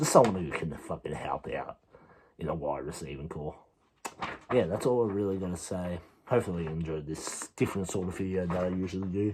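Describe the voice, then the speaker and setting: With an Australian accent, a man speaks quietly at a fairly quick pace in a very deep, low pitch amid noticeable background noise. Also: ordinary pitch variation. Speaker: sports video creator. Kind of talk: casual vlog commentary.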